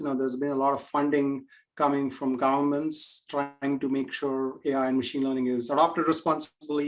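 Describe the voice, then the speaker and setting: Fairly high in pitch, a man's voice moves at a moderate pace. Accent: Indian. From India. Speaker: AI and machine learning expert. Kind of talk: webinar Q&A. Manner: many fillers and hesitations.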